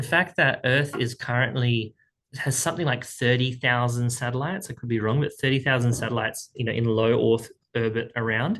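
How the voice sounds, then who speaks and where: A man talks with an Australian accent at a medium pitch. His pace is fairly quick and his intonation fairly even. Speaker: speaking coach. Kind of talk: tutorial. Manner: casual, conversational.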